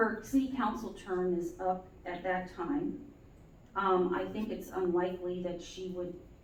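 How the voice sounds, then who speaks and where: A woman at medium pitch talks at a fairly slow pace with ordinary pitch variation, amid audible room echo and noticeable background noise. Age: 60s. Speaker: city council member, petitioner in court. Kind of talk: courtroom testimony. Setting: courtroom. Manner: halting, many fillers.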